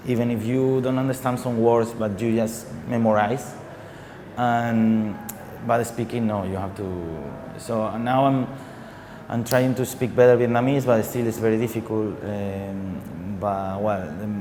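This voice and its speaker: Amid noticeable background noise and audible room echo, a man with a Spanish accent speaks at a fairly slow pace in a medium pitch, his intonation fairly even. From Spain. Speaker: singer. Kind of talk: TV interview. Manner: halting, many repetitions and fillers.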